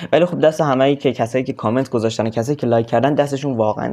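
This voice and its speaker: A man talks very fast with a dark, mellow tone. His pitch is medium and his intonation fairly even. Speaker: gaming youtuber. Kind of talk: gameplay outro chat. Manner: casual, informal.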